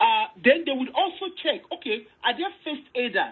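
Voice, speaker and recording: A woman with a Nigerian accent, high in pitch, with very wide pitch swings. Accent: Nigerian (Yoruba) English. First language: Yoruba. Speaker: online commentator. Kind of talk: casual discussion, code-switching Yoruba and English. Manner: animated.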